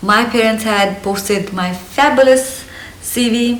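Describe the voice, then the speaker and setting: A woman with a slight Indian accent speaks at a fairly high pitch, with audible room echo and noticeable background noise. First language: Hindi. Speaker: lifestyle vlogger. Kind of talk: casual vlog monologue. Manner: energetic.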